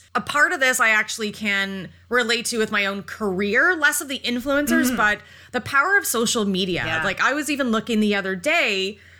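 In an ordinary speaking voice, a woman talks at a moderate pace with a fairly high pitch and lively intonation. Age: 30s. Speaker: horror podcast co-host. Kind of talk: casual chat.

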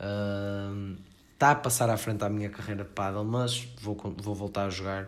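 With a slight northern Portuguese accent, a man speaks very slowly in a fairly low pitch, and audible room echo surrounds his voice. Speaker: podcast host. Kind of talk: casual chat.

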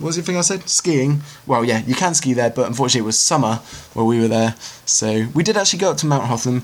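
Noticeable background noise sits behind a speaker with a British accent. The pace is very fast and the intonation lively. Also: man. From Britain. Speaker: filmmaker. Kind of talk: recorded answers to emailed interview questions. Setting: self-recorded audio file.

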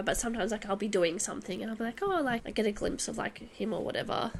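Noticeable background noise is present. Over it, a woman speaks very fast at a fairly high pitch. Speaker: book podcast co-host. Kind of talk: casual book discussion. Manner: laughs often.

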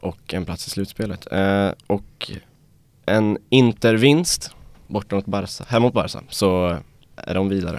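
Ordinary pitch variation runs through a man's fairly slow speech. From Sweden, Dalarna. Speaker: journalism student. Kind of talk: casual chat. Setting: studio.

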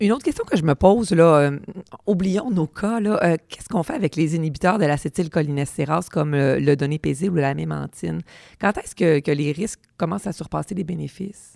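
Close and dry with no echo, a woman's dark, mellow voice moves at a fairly quick pace, fairly low in pitch with ordinary pitch variation. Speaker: podcast host, pharmacist. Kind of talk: interview.

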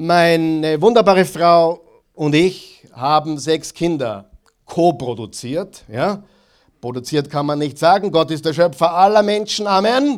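Speaking at a very slow pace, a man with a high-pitched voice uses lively intonation. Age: 40s. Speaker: pastor. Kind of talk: sermon. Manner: animated.

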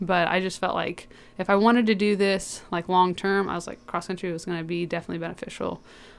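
Speaking very fast, a woman with an American accent holds a medium pitch. Her intonation stays monotone and flat. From Georgia, US. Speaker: college athlete. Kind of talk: interview. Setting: studio.

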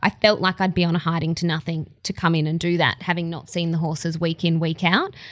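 A woman with an Australian accent at a very fast pace and fairly low pitch, monotone and flat, with hardly any pauses. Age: 20s. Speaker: racing presenter and former track rider. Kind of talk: casual chat. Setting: racecourse bar.

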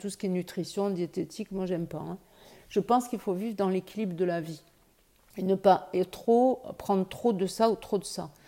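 A woman's medium-pitched voice, an ordinary speaking voice, moderate in pace and with ordinary pitch variation. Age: 60s. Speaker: breast cancer patient. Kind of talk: testimony.

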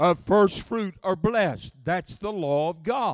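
Sounding dry and close with no echo, a man with a high pitch and an American accent speaks in an animated tone. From Oklahoma. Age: 70s. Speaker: travelling preacher. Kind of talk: sermon. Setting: church with congregation.

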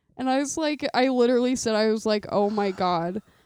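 A woman uses an ordinary speaking voice at a moderate pace with ordinary pitch variation, the sound dry and close with no echo. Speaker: podcast co-host, family member. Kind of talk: casual family chat.

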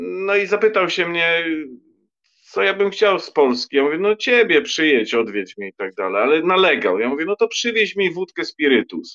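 At a moderate pace, a man talks in a high, bright and sharp voice whose pitch swings very widely, recorded with a dry, close sound and no echo. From Poland, Lower Silesia. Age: 50s. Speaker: writer. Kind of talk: casual chat.

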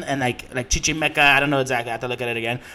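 An animated man with an American accent, over noticeable background noise. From Southern California. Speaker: comedian. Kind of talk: casual chat.

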